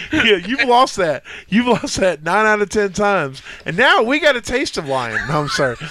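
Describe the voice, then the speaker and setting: Over noticeable background noise, a man with a high pitch uses a raised, projected voice, an animated tone and very wide pitch swings. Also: moderate pace. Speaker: comedy podcast host. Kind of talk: casual chat.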